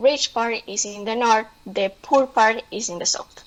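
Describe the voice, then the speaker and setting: A woman speaks with a Spanish accent at a fairly slow pace and a fairly high pitch. Her intonation stays fairly even. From Colombia. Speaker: presenter. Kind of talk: online presentation. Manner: halting, many fillers.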